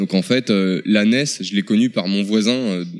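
A man with an ordinary speaking voice talks at a moderate pace and a fairly low pitch. The recording is very clean, with a silent background. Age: 30s. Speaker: video game shop employee. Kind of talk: interview.

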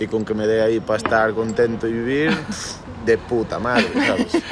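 The speech has ordinary pitch variation. Background noise is noticeable. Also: man. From Galicia, Santiago de Compostela. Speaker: musician. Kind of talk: interview.

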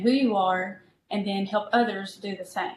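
A woman with an Appalachian accent speaks in a somewhat breathy voice with monotone, flat intonation. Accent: Appalachian Southern American. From eastern Kentucky, US. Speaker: pastor. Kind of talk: interview.

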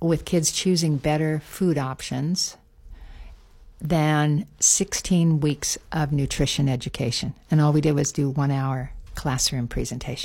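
A woman's very deep, low voice with a dark, mellow tone and ordinary pitch variation, on a very clean recording with a silent background. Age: 70s. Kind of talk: casual radio interview. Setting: radio studio.

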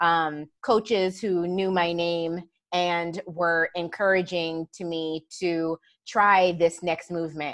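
A woman at a very slow pace, fairly low in pitch and flat in intonation, with a dry, close sound and a quiet background. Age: 40s. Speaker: pharmacist and coach. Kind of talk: casual chat. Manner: laughs often.

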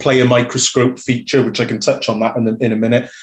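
Flat and monotone, a man talks in a South Wales accent. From Wales, Newport. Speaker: rugby club media volunteer. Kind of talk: casual interview.

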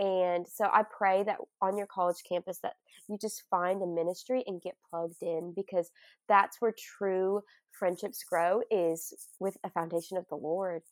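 A woman at medium pitch speaks at a moderate pace with a Southern US accent. The sound is dry and close with no echo, in a very clean recording with a silent background. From Arkansas. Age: 20s. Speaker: college student and speaker. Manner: animated, excitable.

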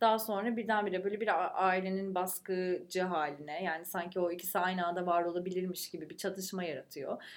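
Speaking fairly quickly, the woman keeps her voice at a medium pitch. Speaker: podcast co-host. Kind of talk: casual chat. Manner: animated, vocal.

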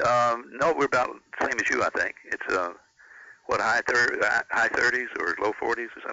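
Noticeable background noise behind a man talking at a moderate pace, broken by long, frequent pauses. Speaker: former radio broadcaster. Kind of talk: casual chat. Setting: phone call.

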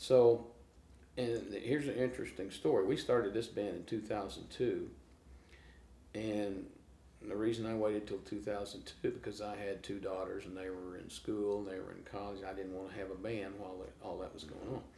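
With an American accent, a man talks at a moderate pace in a fairly low pitch. His tone is dark and mellow, with big swings in loudness. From small-town Oklahoma. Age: 60s. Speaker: blues guitarist. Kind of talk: casual interview chat. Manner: animated storytelling.

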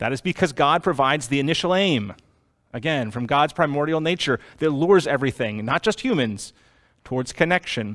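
A man with an American accent talks at a fairly quick pace in an animated tone, his pitch swinging very widely. The recording is very clean, with a silent background. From US Northeast, Boston. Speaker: pastor. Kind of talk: sermon.

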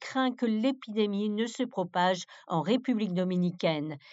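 Using an unremarkable speaking voice, a woman talks at a medium pitch with ordinary pitch variation and a moderate pace. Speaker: news presenter. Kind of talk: formal newsreading, crisp scripted bulletin delivery. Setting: studio. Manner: formal; steady, measured, neutral broadcast pace.

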